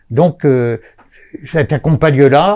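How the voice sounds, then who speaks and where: His pitch runs fairly high for a man, and his tone is dark and mellow. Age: 70s. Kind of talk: interview. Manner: hesitant, many filler sounds.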